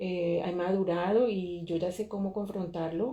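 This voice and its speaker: A woman speaks with fairly even intonation and a fairly low pitch. Noticeable background noise sits behind her. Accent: Colombian. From Colombia. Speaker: podcast host and artist. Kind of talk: interview.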